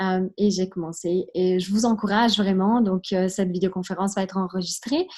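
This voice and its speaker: A woman with a slight Italian accent talks at a moderate pace in a medium-pitched voice. She sounds somewhat breathy, with fairly even intonation. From Switzerland. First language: Italian (speaking French). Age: 20s. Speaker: network marketing recruiter. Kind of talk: testimony. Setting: video call.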